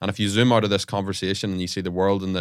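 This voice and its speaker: A man with an Irish accent, fairly low in pitch, at a very fast pace, on a very clean recording with a silent background. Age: 20s. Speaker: podcast host. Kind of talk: casual chat.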